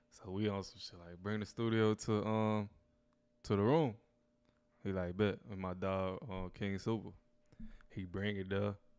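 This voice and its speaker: A man with an American accent and fairly low pitch speaks with fairly even intonation, big swings in loudness and long, frequent pauses. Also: fairly slow pace. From Louisiana. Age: 20s. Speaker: rapper. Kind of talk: casual chat.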